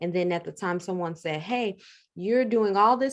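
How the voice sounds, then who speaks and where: With a normal speaking voice and ordinary pitch variation, a woman speaks at a moderate pace over a quiet background. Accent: American. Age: 30s. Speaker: funeral home owner. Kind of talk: interview.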